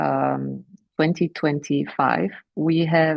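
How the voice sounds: Delivered at a slow pace, the voice has fairly even intonation and vocal fry. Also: woman, low pitch for a woman.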